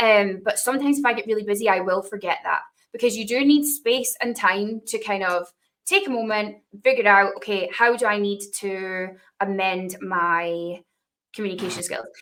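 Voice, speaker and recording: With a Dundee accent, a woman speaks at a moderate pace and medium pitch, using ordinary pitch variation. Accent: Scottish (Dundee). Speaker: podcast host, tech presales professional. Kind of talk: interview conversation.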